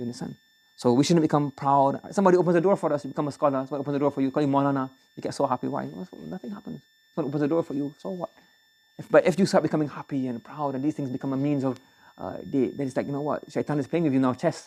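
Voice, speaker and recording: Speaking with a Barbadian accent, a man talks at a very fast pace. His voice has a dark, mellow tone and a fairly high pitch for a man. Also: ordinary pitch variation. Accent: Barbadian accent, noticeable. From Barbados. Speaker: Islamic teacher. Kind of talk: religious lecture. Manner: conversational, repetitive.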